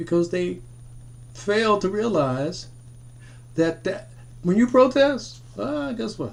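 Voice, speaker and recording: A man with a high pitch speaks at a very slow pace, his pitch swinging very widely. Long, frequent pauses break up his speech. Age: 60s. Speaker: military veteran and commentator. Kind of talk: monologue commentary video. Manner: repetitive, halting restarts.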